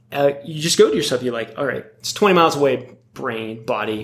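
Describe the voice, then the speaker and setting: Noticeable background noise accompanies a man speaking at medium pitch and a moderate pace with ordinary pitch variation. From US Northeast, Connecticut (Wethersfield). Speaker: ultra-endurance adventurer and artist. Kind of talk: casual interview conversation. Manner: halting, many fillers and repetitions.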